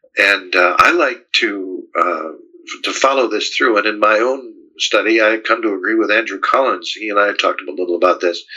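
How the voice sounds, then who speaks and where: A man with an American accent talks at a moderate pace with hardly any pauses. Noticeable background noise can be heard. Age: 70s. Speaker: author. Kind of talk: interview. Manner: halting.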